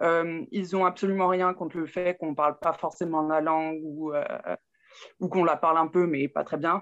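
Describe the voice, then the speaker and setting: Delivered at a moderate pace, the speech has monotone, flat intonation against a quiet background. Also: woman, fairly low pitch for a woman. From Burgundy, France (Saône-et-Loire). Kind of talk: interview testimony.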